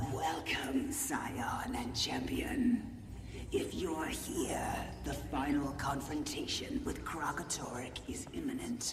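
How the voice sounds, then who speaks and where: Whispering in a put-on character voice, a man speaks fairly slowly amid clear echo and loud background noise. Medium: game stream. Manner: solemn, formal.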